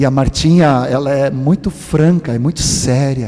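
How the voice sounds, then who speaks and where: Over noticeable background noise, a man with a fairly high pitch speaks at a very slow pace with ordinary pitch variation. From Sweden. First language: Swedish (speaking Portuguese). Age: 60s. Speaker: preacher. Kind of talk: sermon. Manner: animated.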